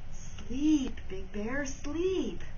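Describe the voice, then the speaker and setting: A woman performs a put-on character voice against clear background noise. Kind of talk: bedtime story. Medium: read story.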